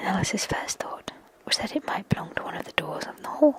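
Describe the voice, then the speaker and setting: Whispering over noticeable background noise. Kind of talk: whispered ASMR story reading. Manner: whispered.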